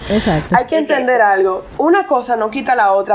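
Her pitch sits fairly high. It is a woman talking. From Puerto Plata, Dominican Republic, Argentine family. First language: English (speaking Spanish). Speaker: lawyer. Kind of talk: casual interview.

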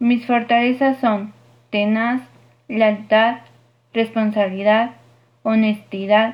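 Very slow, monotone, flat speech from a woman in a Mexican accent, her voice fairly high and somewhat breathy. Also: very clean recording, silent background. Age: 20s. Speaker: university student. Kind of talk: class presentation.

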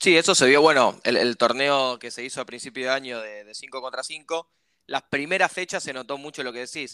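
With a Rioplatense accent, a man speaks at a medium pitch and moderate pace, his bright, sharp tone showing ordinary pitch variation and big swings in loudness on a very clean recording with a silent background and a dry, close sound with no echo. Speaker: podcast host. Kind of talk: casual interview.

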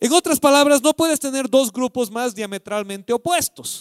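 A man's extremely high, animated voice with lively intonation, in a dry, close sound with no echo and a very clean recording with a silent background. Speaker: pastor. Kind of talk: sermon.

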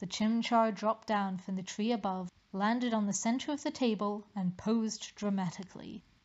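This is plain reading aloud with fairly even intonation.

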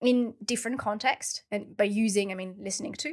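A woman talks at a moderate pace. Her pitch shows ordinary variation. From France. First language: French. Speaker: researcher, PhD graduate. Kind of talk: casual interview.

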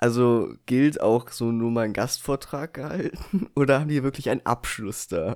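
A man with a normal speaking voice talks at a fairly slow pace, medium in pitch with ordinary variation and hardly any pauses. The recording is very clean, with a silent background. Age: 20s. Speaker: podcast co-host. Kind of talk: casual chat.

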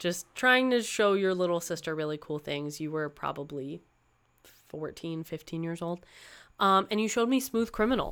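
A woman with a plain, everyday voice speaks at a moderate pace in a fairly low pitch, her intonation lively, on a very clean recording with a silent background. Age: 20s. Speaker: podcast host and musician. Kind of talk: casual chat. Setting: home recording with windows open.

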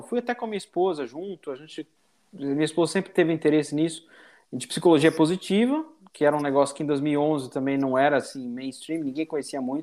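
A normal speaking voice at a moderate pace, with ordinary pitch variation. The recording is very clean, with a silent background. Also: man. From Brazil, São Paulo. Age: 40s. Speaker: business executive. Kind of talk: casual interview chat.

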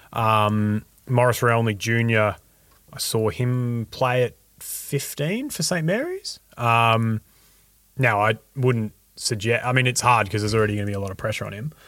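A man with an Australian accent at a moderate pace, fairly even in intonation, on a very clean recording with a silent background. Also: medium pitch for a man. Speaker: student journalist and podcaster. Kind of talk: casual chat.

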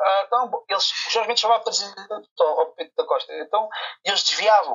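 A man talks at a very fast pace. He speaks with a Lisbon accent. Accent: European Portuguese, Lisbon area. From Portugal, Barreiro. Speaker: football video commentator. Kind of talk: casual chat.

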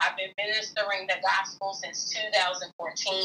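Over music in the background, a woman talks with monotone, flat intonation. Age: 40s. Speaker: salon owner and minister. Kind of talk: testimony.

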